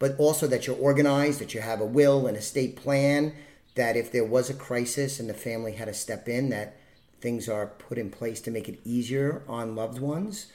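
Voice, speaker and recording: A man with a medium-pitched voice talks at a fairly quick pace in an ordinary speaking voice. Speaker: podcast host. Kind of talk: casual interview chat.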